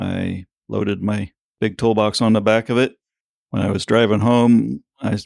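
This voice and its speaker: Dry and close with no echo, a man's fairly low voice comes through in a plain, everyday voice at a moderate pace with fairly even intonation. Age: 60s. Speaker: farrier. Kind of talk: interview.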